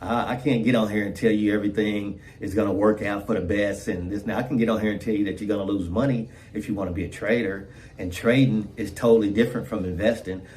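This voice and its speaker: A man with a fairly low pitch at a very fast pace, with audible room echo. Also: fairly even intonation. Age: 60s. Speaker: trading video creator. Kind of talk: casual vlog monologue. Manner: repetitive, stammering.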